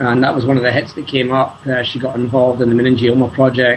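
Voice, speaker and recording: Noticeable background noise sits behind this man with a Scottish accent. His medium-pitched voice stays monotone and flat. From Scotland. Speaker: scientist and charity fundraiser. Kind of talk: interview. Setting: video call.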